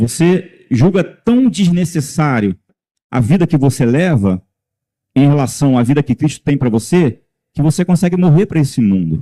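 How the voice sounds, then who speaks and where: With a dark, mellow tone and a somewhat breathy quality, the voice moves at a moderate pace with very wide pitch swings and very even loudness, in a dry, close sound with no echo. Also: man, fairly high pitch for a man. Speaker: lay preacher. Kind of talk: sermon.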